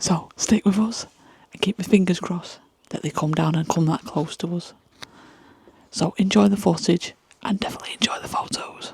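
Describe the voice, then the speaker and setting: A woman whispers at a moderate pace, leaving long, frequent pauses. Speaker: wildlife photographer and video maker. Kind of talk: vlog narration. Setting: outdoor photography hide at night. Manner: hushed, quiet.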